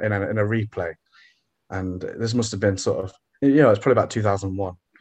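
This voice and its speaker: With an East Midlands accent, a man talks at a fairly quick pace in a fairly low, somewhat breathy voice and fairly even intonation. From England, Derby. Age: 20s. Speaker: former pro wrestler. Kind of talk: casual chat.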